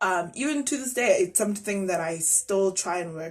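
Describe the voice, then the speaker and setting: Speaking at a moderate pace, a woman with a Zulu accent uses a medium pitch. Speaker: YouTuber. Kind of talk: reaction commentary.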